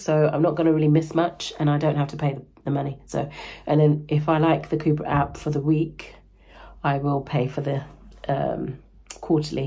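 Over a quiet background, a woman with a very deep, low pitch speaks at a fairly quick pace, somewhat breathy and with monotone, flat intonation. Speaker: running vlogger. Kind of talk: casual vlog chat. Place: home room. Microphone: phone near.

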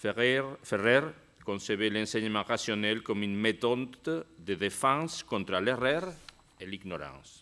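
A man speaks with a Spanish accent, his pitch fairly low and his intonation lively. His tone is bright and sharp, and he talks at a fairly slow pace. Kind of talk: conference talk. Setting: stage with audience. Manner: halting.

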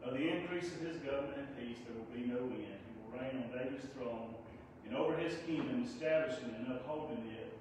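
Strong room echo and noticeable background noise surround a man speaking at a moderate pace with fairly even intonation. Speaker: scripture reader at service. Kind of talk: scripture reading. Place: church. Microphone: camera far.

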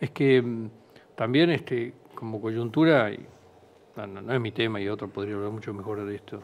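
The speaker is a man whose volume rises and falls sharply. He keeps a moderate pace with normal pitch movement. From Argentina. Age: 60s. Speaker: animal feed company executive; guest. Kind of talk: interview. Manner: halting. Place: studio. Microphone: headset.

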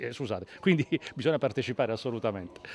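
A man's medium-pitched voice at a very fast pace, with lively intonation, a dry sound free of echo, and light background noise. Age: 50s. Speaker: actor; actor interviewed at festival. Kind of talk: interview. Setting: festival, on camera. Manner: halting, with frequent fillers and repetitions. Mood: cheerful, warm. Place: street. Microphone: handheld.

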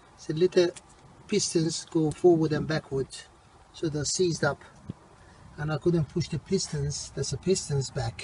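A man speaks at a moderate pace in a dark, mellow tone with fairly even intonation and long, frequent pauses. The sound is dry with no echo, over light background noise. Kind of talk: tutorial. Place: street. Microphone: phone near.

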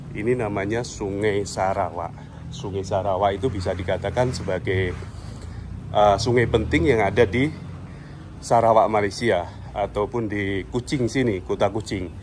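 Against light background noise, a man talks in an unremarkable speaking voice. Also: fairly low pitch for a man, ordinary pitch variation, moderate pace. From Indonesia. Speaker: travel vlogger. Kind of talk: walking vlog narration with street interviews. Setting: outdoors. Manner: casual, conversational. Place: street. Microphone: phone near.

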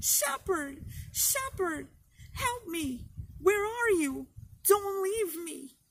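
A woman puts on a shrill character voice at an extremely high pitch, with very wide pitch swings, a very slow pace and long, frequent pauses. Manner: shrieked in fear, pleading.

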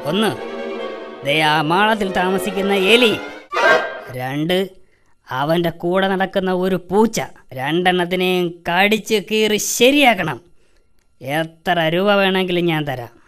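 A cartoonish character voice at middle pitch talks fairly slowly. Music plays in the background. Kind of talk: comic cartoon villain acting. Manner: gloating, sly, sing-song taunting.

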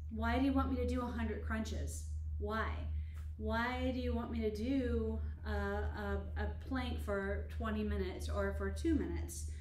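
In a room with audible echo and light background noise, a woman talks at a fairly slow pace in a very deep, low voice with monotone, flat intonation. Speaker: Pilates instructor. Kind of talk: tutorial. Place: gym. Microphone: camera far.

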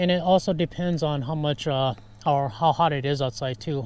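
A man's voice, dry with no echo, with ordinary pitch variation. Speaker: camping vlogger. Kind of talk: casual vlog chat. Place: car. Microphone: lapel.

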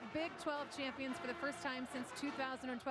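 Over loud background noise, a woman with a high pitch speaks at a moderate pace in a dry sound with no echo. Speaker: sideline reporter. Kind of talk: sideline interview questions; interview question. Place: stadium. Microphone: handheld.

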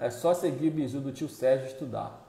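A man talks with ordinary pitch variation, and audible room echo carries his voice. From Brazil, Pará (North). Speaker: military musician and online course creator; online course creator. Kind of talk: live stream Q&A. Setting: live stream. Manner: animated. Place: home room. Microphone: earbuds.

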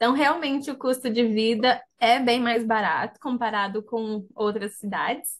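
An unremarkable speaking voice from a woman, fairly high in pitch, at a fairly slow pace with hardly any pauses and fairly even intonation, over a quiet background. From Brazil, interior of Paraná. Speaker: college student and business analyst. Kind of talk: webinar testimony.

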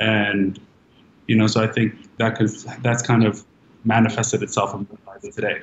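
Over light background noise and audible room echo, a man with an American accent speaks at a moderate pace and fairly low pitch in a flat monotone, with long, frequent pauses and big swings in loudness. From Los Angeles, London and Dubai. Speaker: art collector and creative director; guest. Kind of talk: panel discussion. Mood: warm, relaxed. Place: home room. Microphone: video call.

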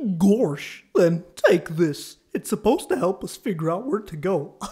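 In a put-on character voice that sounds female, a woman speaks at medium pitch and a fairly slow pace. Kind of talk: comic dub. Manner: dopey, slow.

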